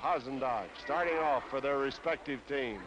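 A man's fairly high-pitched voice at a fairly slow pace, amid noticeable background noise. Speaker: ringside wrestling commentator. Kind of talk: live sports commentary, wrestling play-by-play. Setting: 1950s television broadcast, ringside.

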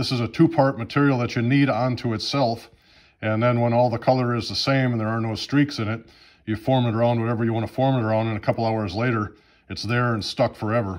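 Against a quiet background, a man talks very fast with fairly even intonation. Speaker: DIY repair demonstrator. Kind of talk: tutorial. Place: home room. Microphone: phone near.

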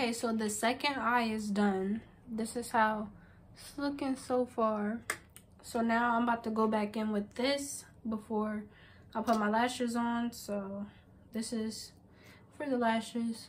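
Her voice is fairly high and somewhat breathy, and this woman speaks at a fairly slow pace with monotone, flat intonation. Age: 18. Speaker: beauty vlogger and makeup artist; beauty vlogger. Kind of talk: casual vlog with makeup tutorial. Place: home room. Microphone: phone near.

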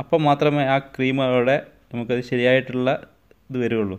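This man has an unremarkable speaking voice at medium pitch. His pitch variation is ordinary. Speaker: husband doing a comedic voiceover for his wife's makeup video. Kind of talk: humorous commentary voiceover over a video. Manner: playful, joking, teasing.

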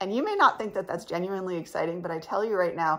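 A woman's creaky, fairly low voice, bright and sharp in tone, at a fast pace. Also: lively intonation.

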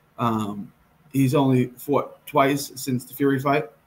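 The man speaks at a fairly slow pace with ordinary pitch variation. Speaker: boxing betting show host. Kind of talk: commentary. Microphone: earbuds.

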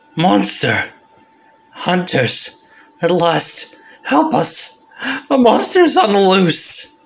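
A man's high-pitched, cartoonish character voice at a very slow pace. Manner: panicked, excitable.

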